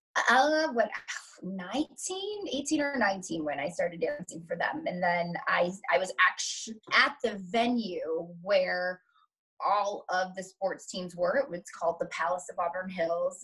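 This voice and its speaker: A woman's bright, sharp voice with lively intonation at a fairly slow pace, over a quiet background. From Metro-Detroit, Michigan. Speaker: dancer and showgirl. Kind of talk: interview answer. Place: home room. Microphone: webcam.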